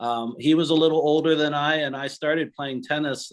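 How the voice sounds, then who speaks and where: With an unremarkable speaking voice, the speaker moves at a moderate pace and shows ordinary pitch variation. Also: man. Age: 60s. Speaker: attorney and tennis player. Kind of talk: interview reminiscence.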